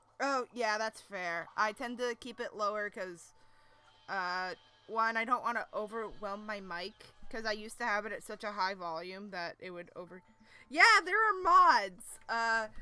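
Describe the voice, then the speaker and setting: Music plays behind a woman with a fairly high pitch who speaks at a fairly slow pace. Her loudness swings widely while her pitch varies in an ordinary way. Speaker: streamer reading a webcomic aloud. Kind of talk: casual live stream chat with reading aloud. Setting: live stream at home PC. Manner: kept quiet, soft-spoken.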